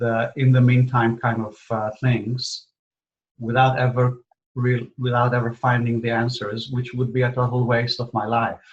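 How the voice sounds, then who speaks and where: Here a man speaks with an Israeli accent. His delivery is somewhat breathy and fairly slow. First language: Hebrew. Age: 60s. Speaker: spiritual teacher. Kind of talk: interview. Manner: halting, many fillers.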